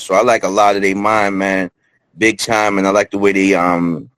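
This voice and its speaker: A man speaks in a fairly low voice with fairly even intonation. The sound is dry and close, with no echo. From New York. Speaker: rapper. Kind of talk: casual chat. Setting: studio.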